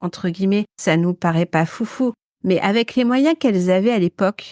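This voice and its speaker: A woman speaks at a medium pitch in a dry, close recording with no echo, very clean and with a silent background. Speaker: podcast co-host. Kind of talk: casual chat. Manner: halting, many repetitions and fillers.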